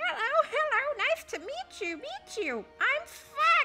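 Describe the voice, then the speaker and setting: A put-on character voice speaks at an extremely high pitch and a fairly slow pace. Faint music plays in the background. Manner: playful, comic.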